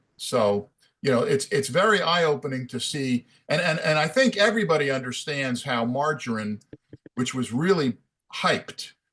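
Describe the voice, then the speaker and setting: Lively in intonation and fairly high in pitch, a man speaks in a normal speaking voice at a moderate pace with an American accent. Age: 60s. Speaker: running school member. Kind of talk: group call discussion.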